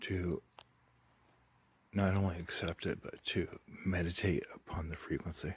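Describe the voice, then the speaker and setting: A man speaks quietly in a very deep, low voice that is somewhat breathy. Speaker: UFO and spirituality vlogger. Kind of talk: casual vlog monologue. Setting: outdoors in backyard at night. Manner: speaking very quietly.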